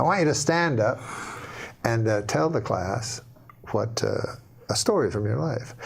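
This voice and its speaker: Over noticeable background noise, a man talks in a medium pitch. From Canada. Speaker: stand-up comedian. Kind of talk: joke telling on a talk show. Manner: slow, almost stuttering deadpan.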